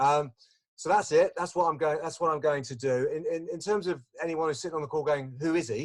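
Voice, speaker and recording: Speaking with an Essex accent, a man uses a fairly high pitch, a fairly quick pace and ordinary pitch variation. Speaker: investment business development manager. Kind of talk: webinar presentation. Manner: chatty, animated.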